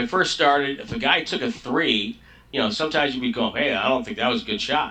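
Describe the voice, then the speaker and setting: Talking very fast, a man with a fairly high pitch swings very widely in pitch over noticeable background noise. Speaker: longtime radio play-by-play announcer for a pro basketball team. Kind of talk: interview answer.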